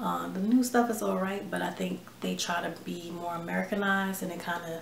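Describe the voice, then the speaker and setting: A woman talks in a relaxed tone. Noticeable background noise and audible room echo surround her voice. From New York / New Jersey, US (born in Ghana, moved at 3). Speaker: vlogger. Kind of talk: casual chat. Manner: relaxed, many fillers and hesitations.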